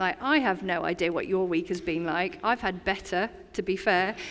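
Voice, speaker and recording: A woman speaks with an English accent at a fairly slow pace. Her pitch is medium, with ordinary variation. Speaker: community chaplain. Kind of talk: sermon. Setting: church. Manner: conversational.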